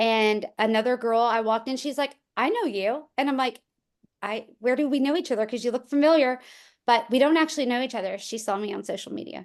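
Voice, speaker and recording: Over a quiet background, a woman with a slight country accent talks at a fairly quick pace, her high pitch showing ordinary variation. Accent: slight country twang. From rural small town. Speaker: real estate agent, former teacher. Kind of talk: casual chat.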